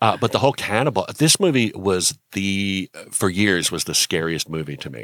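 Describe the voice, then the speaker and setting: A normal speaking voice runs on at a moderate pace with hardly any pauses, lively intonation and big swings in loudness, in a dry, close sound with no echo. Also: man, fairly low pitch for a man. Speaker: podcast co-host. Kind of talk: casual film chat.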